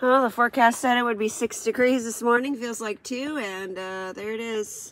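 A woman speaks at a fairly high pitch. Her tone is fairly bright. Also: fairly even intonation, moderate pace.

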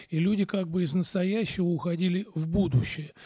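A man's high-pitched, dark, mellow voice with fairly even intonation, dry and echo-free over a quiet background. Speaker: architect. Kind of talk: conference talk. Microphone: handheld.

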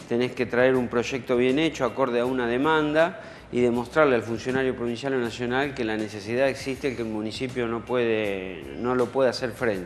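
Music in the background behind a man talking at a fairly quick pace with fairly even intonation. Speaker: guest. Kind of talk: interview answer. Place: studio.

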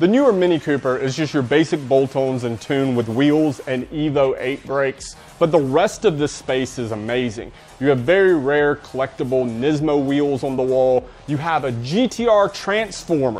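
A man speaks with ordinary pitch variation and hardly any pauses. Faint music plays in the background. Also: moderate pace. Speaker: garage tour host. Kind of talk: casual tour commentary. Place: garage.

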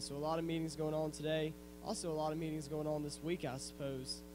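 Monotone, flat delivery at a very fast pace, over noticeable background noise. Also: man. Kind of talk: church announcements. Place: church. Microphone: handheld.

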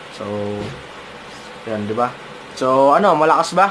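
Against noticeable background noise, a man speaks at a fairly slow pace. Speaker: vlogger. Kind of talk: casual vlog chat. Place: home room. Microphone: lapel.

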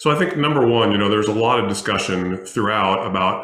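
A man's fairly low voice with audible room echo. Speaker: panel moderator. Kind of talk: panel moderation intro. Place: home room. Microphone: video call.

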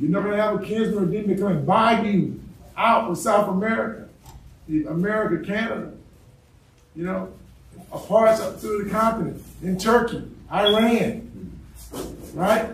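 A man with a high voice talks with fairly even intonation and long, frequent pauses. Audible room echo and light background noise surround him. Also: moderate pace. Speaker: religious teacher. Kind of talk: sermon. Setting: congregation present in person. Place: home room.

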